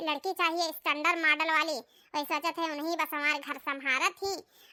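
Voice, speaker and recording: A woman's squeaky, cartoonish character voice at an extremely high pitch, dry and close with no echo. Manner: rambling, halting.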